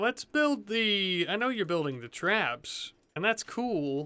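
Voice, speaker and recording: A man's raised, projected voice, high in pitch, with very wide pitch swings at a fairly slow pace. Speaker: gaming video creator. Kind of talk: let's play gameplay commentary. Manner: halting, stumbling; casual, thinking aloud.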